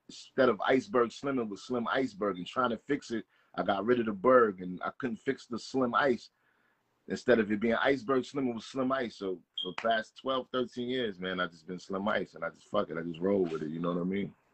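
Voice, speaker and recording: A man speaks in an unremarkable speaking voice at a fairly quick pace. His pitch is medium with ordinary pitch variation, and his loudness swings widely. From New Jersey (Englewood). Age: 30s. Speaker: rapper. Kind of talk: casual interview.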